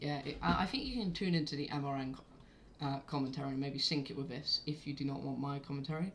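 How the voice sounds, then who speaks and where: Very fast and with hardly any pauses, a woman with a southern English accent speaks in a very deep, low pitch. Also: ordinary pitch variation. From southern England, Oxfordshire. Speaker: amateur race commentator, live streamer. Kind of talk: live commentary. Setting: live stream. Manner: casual, hesitant with many fillers.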